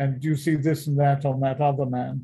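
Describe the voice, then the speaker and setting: A man speaks at a fairly high pitch with a dark, mellow tone and a somewhat breathy quality. His intonation stays monotone and flat. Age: 80s+. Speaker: veteran author, speaker and missionary. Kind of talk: interview answer, telling stories.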